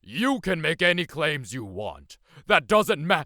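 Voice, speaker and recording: A man uses a put-on character voice at a fairly high pitch. He speaks at a fairly slow pace in a very clean recording with a silent background. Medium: audio drama. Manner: gruff, curt.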